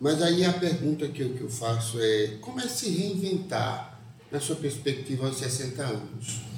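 A man with a fairly high pitch and ordinary pitch variation speaks at a fairly slow pace, with audible room echo and noticeable background noise. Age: 50s. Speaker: librarian podcast co-host. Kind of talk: podcast interview. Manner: halting.

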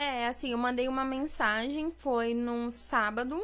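With ordinary pitch variation and a fairly high pitch, this woman has an ordinary speaking voice. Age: 20s. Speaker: administrative assistant and first-time home buyer. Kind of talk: interview.

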